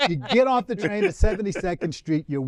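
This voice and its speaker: With an American accent, a man's dark, mellow tone carries very wide pitch swings in a dry, close sound with no echo. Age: 70s. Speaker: church panelist on talk show. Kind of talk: casual panel chat. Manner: halting, many fillers.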